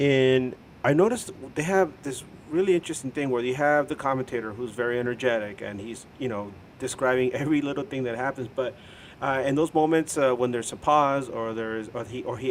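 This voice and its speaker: The speaker talks at a fairly quick pace with ordinary pitch variation and a Spanish accent. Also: man. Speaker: soccer podcast co-host. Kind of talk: casual chat.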